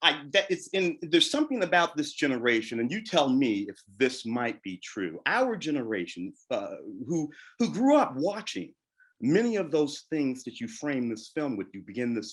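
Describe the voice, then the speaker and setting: In a very clean recording with a silent background, a man speaks with an American accent. His fairly high voice moves at a moderate pace with very wide pitch swings. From St. Louis, US Midwest. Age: 60s. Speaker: moderator, film critic. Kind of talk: Q&A panel conversation.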